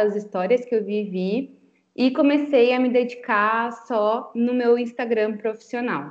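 The speaker talks at a fairly slow pace in an ordinary speaking voice. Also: woman. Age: 20s. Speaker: communications and branding consultant. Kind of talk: interview podcast chat.

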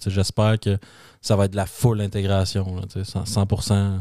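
A man with a Quebec accent speaks in a dark, mellow tone, the sound dry and close with no echo on a very clean recording with a silent background. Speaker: tech podcast co-host. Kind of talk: casual chat.

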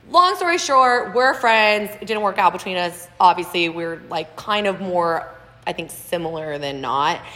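A woman with an American accent speaks at a fairly slow pace, her intonation lively and her loudness swinging widely, over noticeable background noise. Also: medium pitch for a woman. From Texas, Houston. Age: 30s. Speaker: podcast guest host, nurse administrator. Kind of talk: casual chat.

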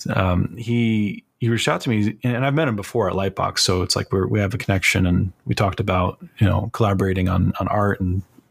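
With an American accent, a man talks at a fairly quick pace in a plain, everyday voice, fairly low in pitch with ordinary pitch variation. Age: 30s. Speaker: concept artist and art instructor. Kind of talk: casual interview.

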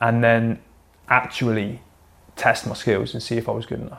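A man with a West Country accent speaks in a monotone, flat way on a very clean recording with a silent background. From England, Plymouth. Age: 30s. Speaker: military veteran and athlete. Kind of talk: interview conversation.

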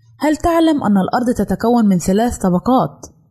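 A woman speaks at a moderate pace with very wide pitch swings. Noticeable background noise runs underneath. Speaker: radio presenter of a general-interest segment. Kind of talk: scripted informational narration.

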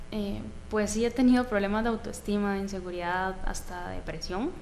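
A woman talks in a Costa Rican accent at medium pitch and a moderate pace. Room echo is audible. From Costa Rica, Atenas. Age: 20s. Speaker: professional footballer. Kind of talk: interview.

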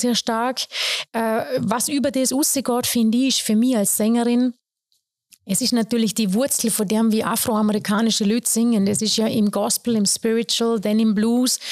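Fairly high-pitched woman with a Vorarlberg accent, moderate pace, fairly even intonation and very even loudness, in a very clean recording with a silent background and a dry, close sound with no echo. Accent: Vorarlberg Alemannic dialect. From Austria, Vorarlberg (Lustenau). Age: 40s. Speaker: soul singer and vocal teacher. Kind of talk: casual interview. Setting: piano room at jazz school.

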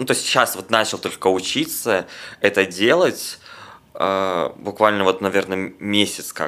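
A man's bright, sharp voice at a fairly slow pace. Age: 20s. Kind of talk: casual interview chat.

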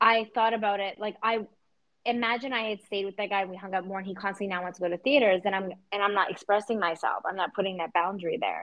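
A woman talks at a very fast pace and medium pitch. Her tone is animated. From Persian background. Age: 30s. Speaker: podcast co-host. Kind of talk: casual chat.

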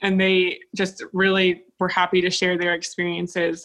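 Her intonation monotone and flat, a woman talks. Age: 20s. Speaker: process engineer. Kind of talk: interview.

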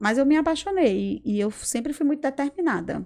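A woman speaks with a northeastern Brazilian accent. Her intonation is lively. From Brazil, Rio Grande do Norte. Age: 40s. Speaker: public health worker and entrepreneur. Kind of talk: casual interview. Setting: studio.

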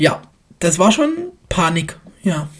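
Her voice has a somewhat breathy quality. This woman talks at a fairly low pitch. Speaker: podcast host. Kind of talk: casual chat.

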